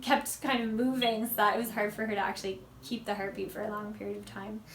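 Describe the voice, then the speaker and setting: Speaking at a very fast pace, a woman keeps a fairly high pitch and fairly even intonation, with noticeable background noise and audible room echo. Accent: American. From United States. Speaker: vlogger. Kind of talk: casual vlog talk.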